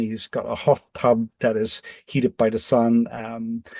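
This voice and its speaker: The voice has a dark, mellow tone and a Dutch accent. It sounds dry and close, with no echo. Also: man. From Netherlands (Amsterdam). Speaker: off-grid living designer. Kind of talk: podcast interview. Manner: halting, many repetitions.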